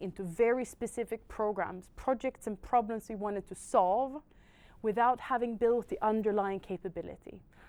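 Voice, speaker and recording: On a very clean recording with a silent background, a woman speaks at a moderate pace in a dark, mellow tone, fairly high in pitch, with ordinary pitch variation. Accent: Swedish. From Sweden. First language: Swedish. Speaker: technology industry panelist. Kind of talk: panel discussion. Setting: in-person event with audience.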